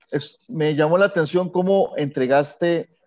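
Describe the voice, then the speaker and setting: With ordinary pitch variation and a fairly slow pace, a man talks in an unremarkable speaking voice. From Costa Rica. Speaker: composer. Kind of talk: Q&A question on video call.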